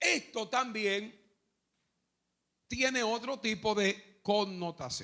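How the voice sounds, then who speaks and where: With long, frequent pauses and a very slow pace, a man talks in a high voice with a bright, sharp tone. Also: ordinary pitch variation. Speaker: pastor. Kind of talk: sermon teaching. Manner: calm, measured pace.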